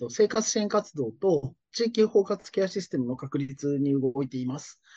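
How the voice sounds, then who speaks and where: Lively intonation runs through an unremarkable speaking voice delivered at a moderate pace. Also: man. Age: 40s. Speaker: care business owner. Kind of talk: interview.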